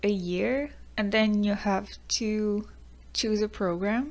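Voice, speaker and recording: A woman's voice with fairly even intonation, in a very clean recording against a silent background. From Quebec. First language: French. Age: 20s. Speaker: YouTuber, student. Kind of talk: personal vlog talk.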